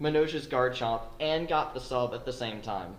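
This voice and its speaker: A man with a normal speaking voice talks in a fairly high pitch with lively intonation. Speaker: esports commentator auditioning. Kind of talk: live match commentary.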